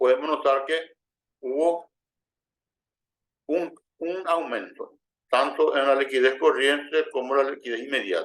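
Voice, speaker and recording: A man's fairly high voice with fairly even intonation and long, frequent pauses. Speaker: finance instructor. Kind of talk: lecture. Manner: halting, many repetitions and false starts.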